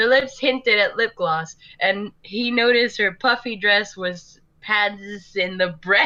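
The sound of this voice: The reading voice is unforced. Pitch shifts in an ordinary way throughout.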